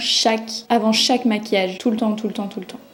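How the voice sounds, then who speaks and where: A woman with a fairly high pitch speaks with fairly even intonation over noticeable background noise. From Belgium. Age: 20s. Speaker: beauty youtuber. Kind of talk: makeup tutorial talk to camera. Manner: casual, chatty.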